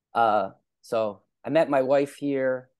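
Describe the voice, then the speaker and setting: A man with an American accent speaks at medium pitch against a quiet background. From US Northeast, Philadelphia. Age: 40s. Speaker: viewer of the channel. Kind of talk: casual conversation. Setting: video call. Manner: hesitant, many fillers.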